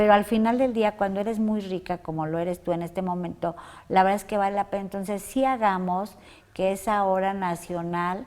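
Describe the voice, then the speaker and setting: On a very clean recording with a silent background, a woman with a plain, everyday voice speaks at a medium pitch and a moderate pace, her intonation fairly even. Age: 60s. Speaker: interview show host. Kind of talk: interview. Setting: guest's workplace.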